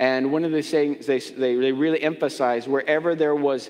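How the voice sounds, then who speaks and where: Quiet background behind a man's voice. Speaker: pastor. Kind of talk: sermon. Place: church.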